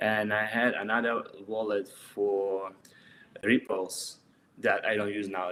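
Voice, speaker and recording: Speaking in a Russian accent, a man has a fairly low voice with a bright, sharp tone. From Russia, Saint Petersburg. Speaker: street artist. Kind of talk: interview. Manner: halting.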